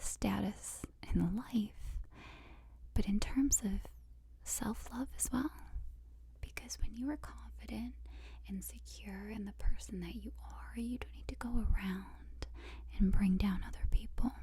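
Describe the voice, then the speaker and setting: Soft-spoken and at a fairly slow pace, a woman talks with big swings in loudness and long, frequent pauses over noticeable background noise. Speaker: ASMR artist. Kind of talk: ASMR affirmations.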